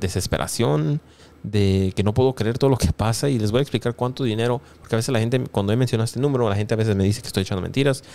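A man's dark, mellow tone at medium pitch, very fast pace, very even loudness and ordinary pitch variation. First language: English (speaking Spanish). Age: 20s. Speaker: YouTuber; news commentator youtuber. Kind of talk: news commentary. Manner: frequent fillers. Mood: exasperated, laughing at times. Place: home room. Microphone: studio mic.

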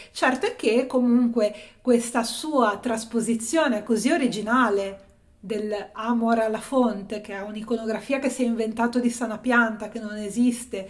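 A woman with a fairly high pitch and an unremarkable speaking voice, at a moderate pace and with fairly even intonation. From Italy, Genoa; Italy. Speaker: art history youtuber; art commentator. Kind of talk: video essay / exhibition review. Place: home room. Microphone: phone near.

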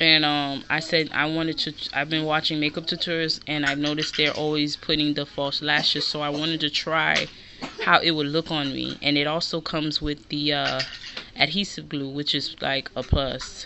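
There is noticeable background noise. The voice keeps a moderate pace. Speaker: haul vlogger. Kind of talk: casual vlog chat. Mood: chatty, a bit disorganized. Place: home room. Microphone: phone near.

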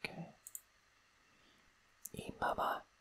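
Someone whispers in a calm tone over noticeable background noise. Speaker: language learner, non-native Greek student. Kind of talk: ASMR language-study reading, whispered musings. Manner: whispered, soft-spoken, calm.

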